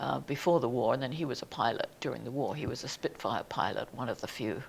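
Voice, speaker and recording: This woman talks at a very fast pace. Her pitch is very deep and low. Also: ordinary pitch variation. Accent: English. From southern England. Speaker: museum society president. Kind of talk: oral history interview.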